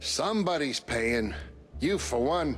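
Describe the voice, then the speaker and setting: In a raspy, put-on character voice, the speaker goes at a fairly slow pace with very wide pitch swings, and background noise is clearly audible. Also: man, medium pitch for a man. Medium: video game. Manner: folksy, casual, plainspoken.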